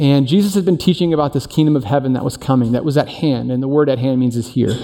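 A man's dark, mellow tone at a very fast pace. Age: 40s. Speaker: teaching pastor. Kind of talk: sermon. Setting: church service in performing arts center. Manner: casual, conversational.

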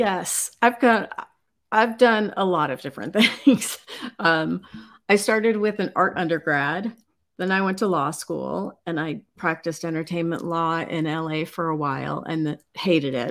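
A woman with an ordinary speaking voice and an American accent talks fairly slowly at a fairly low pitch with lively intonation, on a very clean recording with a silent background. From Chicago, US Midwest. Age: 50s. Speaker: fashion company founder and designer. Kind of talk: casual interview. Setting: live stream.

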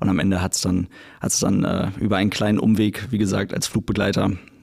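Speaking at a fairly quick pace, a man uses vocal fry and fairly even intonation. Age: 20s. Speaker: airline pilot and YouTuber. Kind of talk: casual interview chat.

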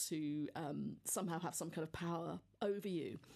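In a southern English accent, a woman speaks with ordinary pitch variation. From Devon, England. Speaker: nun and university chaplain. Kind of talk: interview.

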